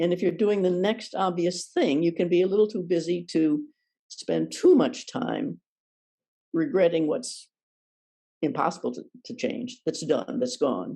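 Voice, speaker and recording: Here a woman speaks at a medium pitch with a dark, mellow tone. Her intonation is lively. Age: 80s+. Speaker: Zen priest and teacher. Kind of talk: dharma talk. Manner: conversational, informal.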